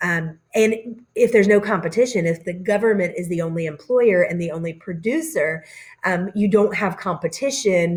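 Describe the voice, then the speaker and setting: At a moderate pace, a woman with a medium pitch sounds somewhat breathy and shows ordinary pitch variation. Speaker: teacher. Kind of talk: recorded lecture over slides. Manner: casual with many fillers.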